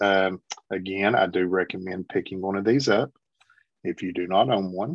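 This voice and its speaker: A man's fairly low-pitched, unremarkable speaking voice at a moderate pace. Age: 50s. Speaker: Bible reviewer and podcast guest. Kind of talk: casual chat.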